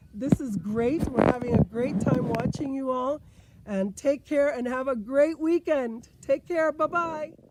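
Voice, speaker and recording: Against noticeable background noise, a woman talks at a fairly slow pace in a high pitch with ordinary pitch variation. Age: 60s. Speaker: powwow dancer. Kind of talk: prerecorded video talk.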